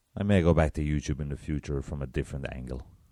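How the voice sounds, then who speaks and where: An Irish-accented man with a dark, mellow tone, on a very clean recording with a silent background. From Republic of Ireland, south. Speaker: podcast host. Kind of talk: solo podcast monologue. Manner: casual.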